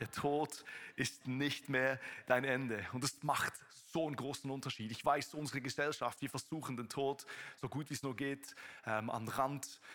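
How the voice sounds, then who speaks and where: Music plays in the background. The speech moves at a moderate pace with fairly even intonation. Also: man. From Switzerland. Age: 30s. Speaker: preacher. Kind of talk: sermon. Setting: church service with live audience.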